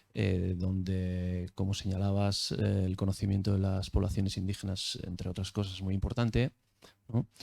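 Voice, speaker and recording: A man speaks at a moderate pace with a Basque accent, his very deep, low voice held in a monotone, flat intonation. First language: Basque (speaking Spanish). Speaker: academic. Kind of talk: audience question at academic talk. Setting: video call. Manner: hesitant, many fillers.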